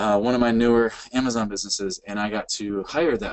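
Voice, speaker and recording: A man is talking at a medium pitch. The intonation is fairly even. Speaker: Amazon seller and webinar presenter with goat farm. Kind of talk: webinar presentation. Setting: online webinar. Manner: fast.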